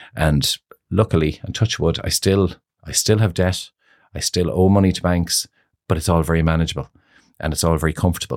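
The speech moves at a fairly quick pace with fairly even intonation, broken by long, frequent pauses. The recording is very clean with a silent background and a dry, close sound with no echo. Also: man, very deep, low pitch for a man. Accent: Irish. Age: 50s. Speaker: hair salon owner. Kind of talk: casual chat.

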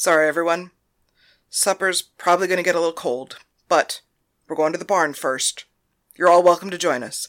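In a raspy, put-on character voice at a middle pitch, the speaker moves at a fairly quick pace with fairly even intonation and long, frequent pauses. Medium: read story. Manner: confident, bossy.

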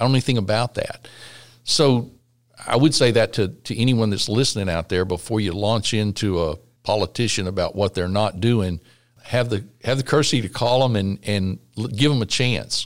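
A man's fairly low voice at a moderate pace with ordinary pitch variation, on a very clean recording with a silent background. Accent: Texan. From Texas Gulf Coast, La Porte. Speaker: state legislator. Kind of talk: interview. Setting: church building.

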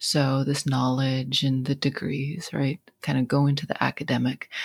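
A somewhat breathy voice with an American accent comes through dry and close, with no echo. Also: woman. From western Montana, St. Ignatius. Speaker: college instructor. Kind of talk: casual group discussion.

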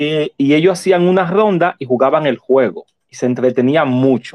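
This is a man with an ordinary speaking voice at a fairly high pitch. He talks at a fairly slow pace with ordinary pitch variation. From Dominican Republic. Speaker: shop owner and board game creator. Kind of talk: interview. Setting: online audio room.

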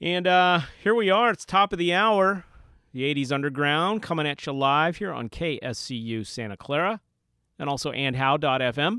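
A man with fairly high pitch speaks at a moderate pace in a normal speaking voice. His intonation is lively. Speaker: radio host. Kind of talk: college radio DJ patter. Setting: radio studio broadcast. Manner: casual, relaxed, chatty, upbeat; fillers like 'uh', track-by-track back-announcing.

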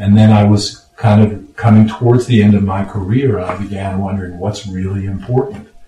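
A man's fairly low, monotone voice with flat intonation and an American accent, at a moderate pace with hardly any pauses, over noticeable background noise. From Los Angeles, California. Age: 60s. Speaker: retired lawyer and radio producer. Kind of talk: casual chat. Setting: home studio.

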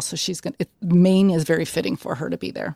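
A woman speaks with an American accent at a fairly quick pace. The recording is very clean, with a silent background. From Chicago area, Illinois/Indiana. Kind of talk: casual interview chat.

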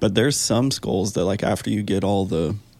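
A man with vocal fry and a dark, mellow tone talks at a moderate pace with ordinary pitch variation. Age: 20s. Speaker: hunter and podcast guest. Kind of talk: casual chat. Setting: studio.

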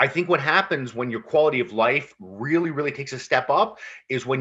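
Fairly quick speech with lively intonation and a Canadian accent. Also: man. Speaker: firefighter and mental health advocate. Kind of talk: casual chat. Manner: fast.

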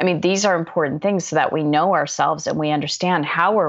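A woman speaks at a very deep, low pitch with vocal fry. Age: 50s. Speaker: author and life coach. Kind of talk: interview.

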